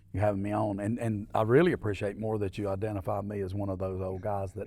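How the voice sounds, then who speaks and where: A man in an Alabama accent talks at a very fast pace, his fairly low voice dark and mellow in tone with monotone, flat intonation. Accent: Southern US (Alabama). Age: 60s. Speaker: mayor and entrepreneur. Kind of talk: podcast interview.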